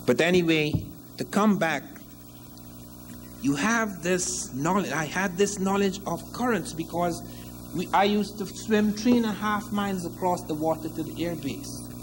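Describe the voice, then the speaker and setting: A man with a Guyanese accent, audible room echo and noticeable background noise. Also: moderate pace. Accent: Guyanese Caribbean English. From Guyana. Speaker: historian lecturer. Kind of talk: lecture.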